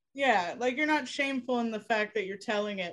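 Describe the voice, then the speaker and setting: A woman's unremarkable speaking voice, fairly high in pitch, with ordinary pitch variation and an American accent. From Florida (Ocala). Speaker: podcast guest. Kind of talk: casual chat.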